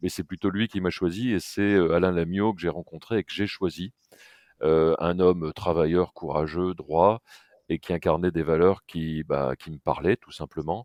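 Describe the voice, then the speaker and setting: Recorded dry and close with no echo against a quiet background, a man talks in a very deep, low voice. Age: 60s. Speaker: packaging company president. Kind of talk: podcast interview. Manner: hesitant, many filler sounds.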